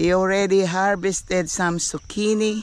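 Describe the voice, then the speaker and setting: The voice moves at a fairly slow pace, with dry sound, no echo and light background noise. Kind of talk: casual vlog chat. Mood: warm, blessing-filled. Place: garden. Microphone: phone near.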